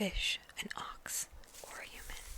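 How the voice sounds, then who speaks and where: Noticeable background noise fills the recording. Over it, the speech is whispered. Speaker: ASMR creator. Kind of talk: bedtime story reading.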